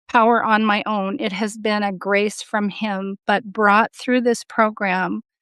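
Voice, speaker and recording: A normal speaking voice moves at a fairly slow pace, dry and close with no echo over a quiet background. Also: woman. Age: 60s. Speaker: coaching program client. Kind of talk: testimony.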